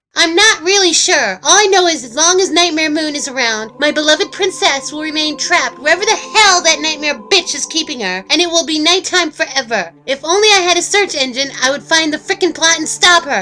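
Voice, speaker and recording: In a put-on character voice, a female-sounding speaker hits an extremely high pitch, moving at a fairly quick clip with hardly any pauses. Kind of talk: parody abridged-dub comedy. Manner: angry, ranting, swearing.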